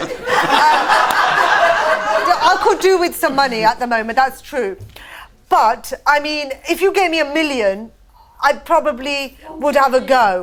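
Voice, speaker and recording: A high-pitched woman at a very slow pace, very wide pitch swings, noticeable background noise. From Britain. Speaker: stand-up comedian. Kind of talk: casual talk in a TV or radio interview, joking. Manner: dry, witty.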